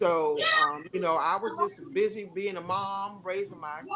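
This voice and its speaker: A woman talks at a medium pitch and a fairly slow pace. Noticeable background noise runs behind her. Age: 60s. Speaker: sickle cell outreach coordinator. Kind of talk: casual chat. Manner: halting.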